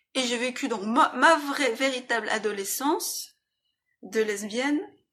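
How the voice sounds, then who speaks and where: At a very slow pace, a woman with a bright, sharp tone uses lively intonation. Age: 40s. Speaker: illustrator. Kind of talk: personal testimony interview. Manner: halting.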